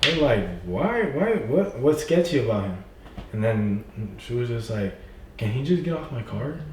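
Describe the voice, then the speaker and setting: Very wide pitch swings mark this man's speech, heard over noticeable background noise with audible room echo. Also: medium pitch for a man, moderate pace. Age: young. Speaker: young entrepreneur. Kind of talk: casual chat. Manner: animated.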